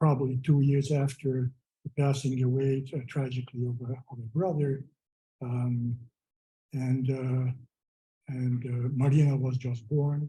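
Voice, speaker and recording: A man talks at a moderate pace with a medium pitch and fairly even intonation. His tone is dark and mellow, and somewhat breathy. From Hungary. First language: Hungarian. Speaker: memorial speaker. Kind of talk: memorial speech. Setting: memorial gathering. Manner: halting, many fillers. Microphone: poor audio.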